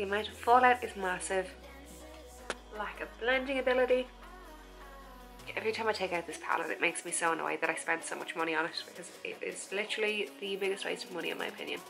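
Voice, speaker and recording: A woman talks at a very fast pace with medium pitch and ordinary pitch variation. Long, frequent pauses break her speech while music plays in the background. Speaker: makeup YouTuber. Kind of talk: makeup tutorial talk to camera.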